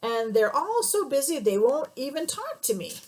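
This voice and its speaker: A woman puts on a character voice, pitched high and swinging very widely, while keeping a moderate pace. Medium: read story. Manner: indignant.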